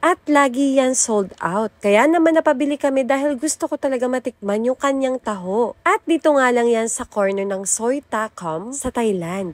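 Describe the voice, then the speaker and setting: With lively intonation and a high pitch, a woman speaks at a moderate pace and hardly pauses. Her voice sounds dry and close, without echo. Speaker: food vlogger. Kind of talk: vlog narration.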